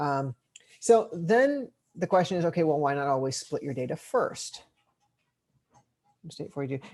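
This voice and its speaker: Here a man talks with a fairly high pitch. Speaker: teaching assistant. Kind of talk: lecture. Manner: fast.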